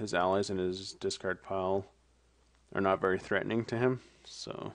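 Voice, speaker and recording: Delivered at a moderate pace, a man's fairly low voice stays monotone with flat intonation. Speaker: card game player reviewing matches. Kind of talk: gameplay commentary. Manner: casual, thinking aloud.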